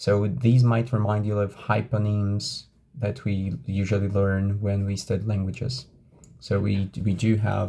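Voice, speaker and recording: A man in a Brazilian Portuguese accent, fairly low-pitched and somewhat breathy, at a fairly slow pace with fairly even intonation. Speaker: English teacher trainer. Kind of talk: lecture.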